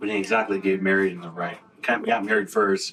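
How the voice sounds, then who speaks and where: Against noticeable background noise, a man talks at a very fast pace with a fairly low pitch and monotone, flat intonation. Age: 30s. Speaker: reality TV participant. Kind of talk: casual chat and confessional interview.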